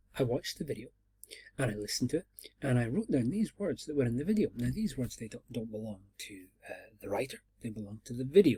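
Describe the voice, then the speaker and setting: In a Scottish accent, a man speaks at a very fast pace with lively intonation. His tone is dark and mellow, and somewhat breathy. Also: medium pitch for a man, big swings in loudness. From Scotland. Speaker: university lecturer. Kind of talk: lecture. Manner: hesitant, many fillers.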